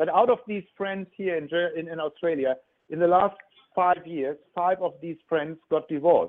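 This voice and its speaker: With a German accent, a man speaks in a high voice at a moderate pace, his intonation fairly even. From Germany. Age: 50s. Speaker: relationship coach. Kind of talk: radio interview. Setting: phone call. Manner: halting, repeats words.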